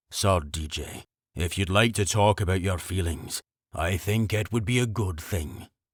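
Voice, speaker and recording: On a very clean recording with a silent background, a soft-spoken man growls in a very deep, low voice at a moderate pace with ordinary pitch variation. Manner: soft, gentle.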